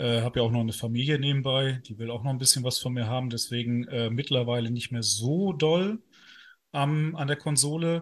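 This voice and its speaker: Against a quiet background, a man speaks at a moderate pace and medium pitch, somewhat breathy, with ordinary pitch variation. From northern Germany. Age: 30s. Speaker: lawyer and video game news writer. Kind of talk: casual interview.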